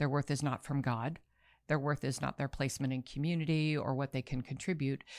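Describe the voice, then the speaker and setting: In a very clean recording with a silent background, a woman with an American accent speaks fairly quickly in a very deep, low pitch with monotone, flat intonation. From Baltimore, US. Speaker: anti-trafficking nonprofit leader. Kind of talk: interview conversation.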